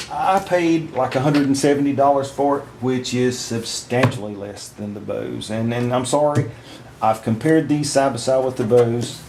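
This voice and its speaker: A man speaks in a Southern US accent at a medium pitch and a moderate pace, with ordinary pitch variation. Noticeable background noise and audible room echo surround his voice. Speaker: product reviewer. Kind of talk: product review. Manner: halting, many fillers.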